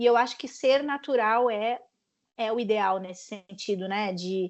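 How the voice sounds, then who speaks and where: At a fairly slow pace, this woman talks with a fairly high pitch that varies in an ordinary way. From southern Brazil, Rio Grande do Sul. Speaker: sports journalist. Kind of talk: panel talk with students. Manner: casual, many fillers and repetitions.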